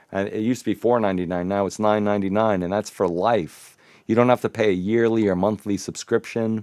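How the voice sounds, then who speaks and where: A man with an American accent speaks at a very fast pace in a fairly low pitch, his intonation monotone and flat, with a dry, close sound with no echo over a quiet background. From northern New Jersey, Bergen County. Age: 50s. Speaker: recording studio owner and live show host. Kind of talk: casual interview chat. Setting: studio, live stream.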